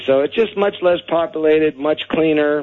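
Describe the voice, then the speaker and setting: Noticeable noise sits in the background. The talking proceeds at a moderate pace. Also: man. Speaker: expat guest. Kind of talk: casual radio interview. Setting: phone call.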